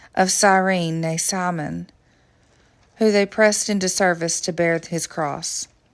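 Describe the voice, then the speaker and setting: In a very clean recording with a silent background, a woman with a Southern US accent talks at a fairly slow pace, her medium pitch following a fairly even intonation. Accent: Southern American. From Southern United States. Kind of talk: Bible reading.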